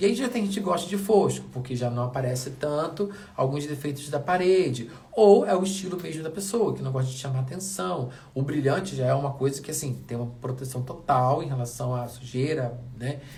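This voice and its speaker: A man talks at a fairly quick pace in a fairly high pitch, his tone animated and his intonation lively. Audible room echo and noticeable background noise surround him. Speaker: wall painting DIY youtuber. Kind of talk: tutorial. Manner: speaking softly briefly.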